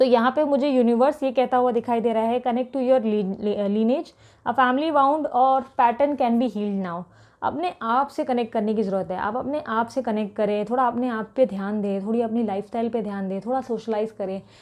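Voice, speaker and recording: A woman at a moderate pace, hardly any pauses, ordinary pitch variation, and a quiet background. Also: fairly high pitch for a woman. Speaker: tarot reader. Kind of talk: tarot reading for viewers. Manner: continuous talking.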